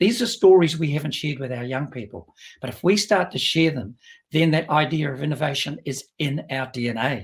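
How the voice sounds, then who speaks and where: A man with a New Zealand accent speaks at a fairly quick pace, his somewhat breathy voice carrying lively intonation. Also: fairly high pitch for a man. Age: 70s. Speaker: business executive. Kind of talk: interview.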